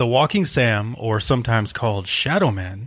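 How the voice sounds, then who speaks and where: This man's voice is somewhat breathy and sits at a medium pitch. He keeps a moderate pace with ordinary pitch variation. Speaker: podcast co-host. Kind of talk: casual chat. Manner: laughs often.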